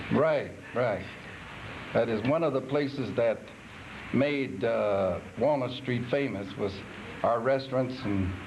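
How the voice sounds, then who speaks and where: A man speaks at a very slow pace with long, frequent pauses and very even loudness. Noticeable background noise and audible room echo are present. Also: medium pitch for a man, ordinary pitch variation. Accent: American. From Iowa. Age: 70s. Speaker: retired restaurant owner. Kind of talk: oral history interview. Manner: halting.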